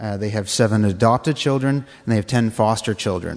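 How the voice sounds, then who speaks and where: A man's fairly low voice at a fairly quick pace, with fairly even intonation. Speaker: mission work team volunteer. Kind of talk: slideshow presentation. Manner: fast talker due to time.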